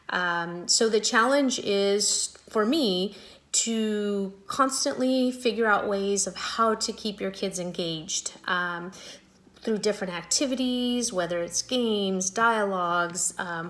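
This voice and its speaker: A woman's normal speaking voice at medium pitch, fairly slow, with ordinary pitch variation. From US West, Las Vegas, Mexican-American family. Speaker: high school Spanish teacher. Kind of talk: back-to-school night talk to parents. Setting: video call.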